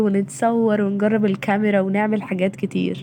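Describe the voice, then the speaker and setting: A woman with an Egyptian accent speaks at medium pitch over noticeable background noise. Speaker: vlogger, university student. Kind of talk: casual vlog talk to camera.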